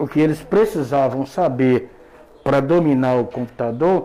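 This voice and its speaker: Against noticeable background noise, a man speaks very slowly at a medium pitch with ordinary variation. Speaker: former computer teacher. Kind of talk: interview. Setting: radio studio. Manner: halting, repeats words.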